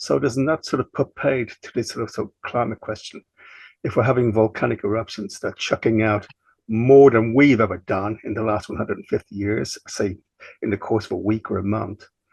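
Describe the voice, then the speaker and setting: A man's medium-pitched voice with vocal fry and lively intonation at a fairly quick pace, dry and close with no echo against a quiet background. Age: 60s. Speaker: class participant. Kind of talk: question in online class. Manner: halting.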